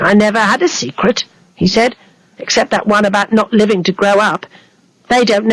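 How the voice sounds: Fairly even intonation in a natural reading voice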